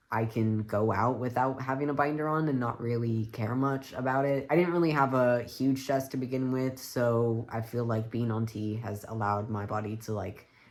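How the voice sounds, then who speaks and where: A man with fairly even intonation and hardly any pauses, over noticeable background noise. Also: medium pitch for a man, moderate pace. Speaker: vlogger. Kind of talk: casual vlog update. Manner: casual, uses many fillers.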